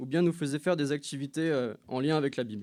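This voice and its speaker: A man's dark, mellow voice moves at a fairly quick pace. His pitch variation is ordinary. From France, Loiret (Montargis). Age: 20s. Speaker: church member giving baptism testimony. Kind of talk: testimony. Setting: church service. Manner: hesitant, many filler sounds.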